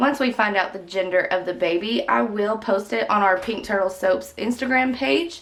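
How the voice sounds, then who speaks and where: Against noticeable background noise, a woman speaks at a moderate pace and medium pitch with lively intonation. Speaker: soap maker, tutorial channel host. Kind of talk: tutorial.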